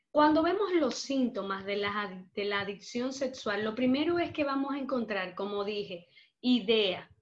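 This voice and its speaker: A woman with an unremarkable speaking voice, lively intonation and a fairly slow pace. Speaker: psychologist. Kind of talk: lecture.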